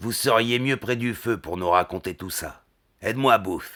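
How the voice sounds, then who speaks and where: Using a raspy, put-on character voice, a man talks at a moderate pace and medium pitch, with ordinary pitch variation and big swings in loudness. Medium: read story. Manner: measured, grave.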